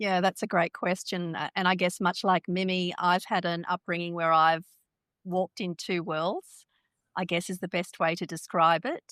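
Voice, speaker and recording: In a very clean recording with a silent background and a dry, close sound with no echo, a woman with an Australian accent speaks at a fairly low pitch and moderate pace with monotone, flat intonation. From Australia, Perth (early years in India). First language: Hindi. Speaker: lawyer and keynote speaker. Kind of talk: interview.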